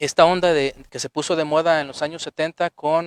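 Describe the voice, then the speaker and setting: The recording is dry and close with no echo, carrying a man's fairly high voice. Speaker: psychologist and author giving a lecture. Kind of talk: lecture. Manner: fast.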